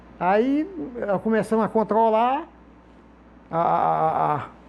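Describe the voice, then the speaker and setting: This is a man's voice. It sits high in pitch. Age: old. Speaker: sculptor. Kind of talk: casual interview talk. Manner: halting, many repeated words.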